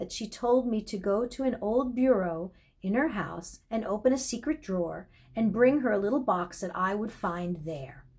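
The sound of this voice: An unforced reading voice. That is all it is.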